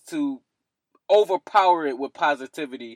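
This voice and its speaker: On a very clean recording with a silent background, a man with a Philadelphia accent talks with ordinary pitch variation, the sound dry and close with no echo. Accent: Philadelphia American English. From US East Coast, Philadelphia. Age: 20s. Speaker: mental health podcaster. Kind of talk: casual interview.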